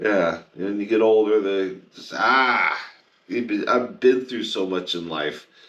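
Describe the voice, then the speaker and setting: Audible room echo surrounds a man speaking at a very slow pace. His pitch is fairly low, with ordinary pitch variation. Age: 60s. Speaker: podcast co-host in addiction recovery. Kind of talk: casual chat.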